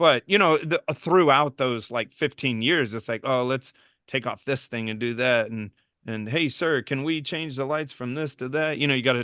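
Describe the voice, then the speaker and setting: In an American accent, a man talks at a moderate pace with a medium pitch and ordinary pitch variation. His tone is bright and sharp, and the sound is dry and close with no echo. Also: quiet background. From Texas, Denton. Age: 40s. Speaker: reef aquarium service professional. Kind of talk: casual chat.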